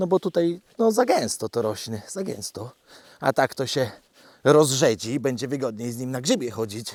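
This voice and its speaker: Recorded very cleanly against a silent background with a dry, close sound and no echo, a man with a plain, everyday voice talks at a moderate pace, medium pitch and lively intonation. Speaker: vlogger walking his dog and keeping farm animals. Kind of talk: casual monologue while walking. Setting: outdoors, forest walk with dog. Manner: chatty, relaxed, self-deprecating.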